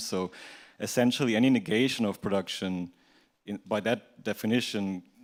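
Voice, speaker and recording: This very clean recording with a silent background features a man with an unremarkable speaking voice, fairly low in pitch, speaking at a moderate pace with fairly even intonation. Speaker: audience member. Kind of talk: audience question.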